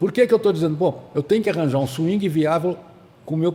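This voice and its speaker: Dark and mellow in tone, a man's fairly high voice moves at a fairly quick pace with ordinary pitch variation. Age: 70s. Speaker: veteran golf club member, former systems analyst and financier. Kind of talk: podcast interview. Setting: studio in a golf club restaurant.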